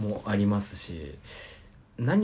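The tone is dark and mellow, with vocal fry. Intonation is lively and the pace moderate. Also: man. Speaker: college radio podcast host. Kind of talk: casual chat.

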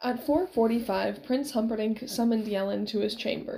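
This voice reads in an unforced way.

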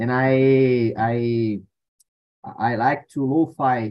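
The speaker has a Portuguese accent. The intonation is fairly even. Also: man. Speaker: language learner. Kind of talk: casual chat. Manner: halting.

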